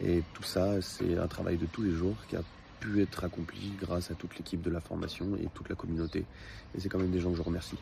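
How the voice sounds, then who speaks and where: This man's pitch is very deep and low. The intonation he uses is fairly even. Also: fairly quick pace. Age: 20s. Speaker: customer giving a testimonial. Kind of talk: testimony. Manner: hesitant, many filler sounds.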